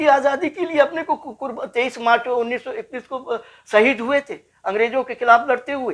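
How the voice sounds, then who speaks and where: Over a silent background in a very clean recording, a man speaks at an extremely high pitch. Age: 60s. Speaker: former political detainee, social activist. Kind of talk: interview. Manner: emphatic, repetitive oratory.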